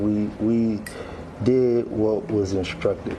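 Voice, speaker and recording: Noticeable background noise behind a man's fairly low, monotone, flat voice. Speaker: father of a convicted defendant. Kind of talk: interview answer.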